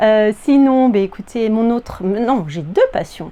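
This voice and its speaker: A woman talks at a very slow pace, her pitch fairly high and her intonation lively. Noticeable background noise runs behind her. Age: 40s. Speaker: sewing vlogger, primary school teacher. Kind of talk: casual vlog chat. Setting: at home, in her apartment. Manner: hesitant, many filler words.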